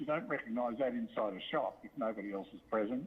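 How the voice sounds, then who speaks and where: This man speaks in an Australian accent at a very fast pace. His pitch is medium, with ordinary variation. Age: 60s. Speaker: local shop owner giving public comment. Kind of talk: public comment at council meeting. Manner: halting, many fillers.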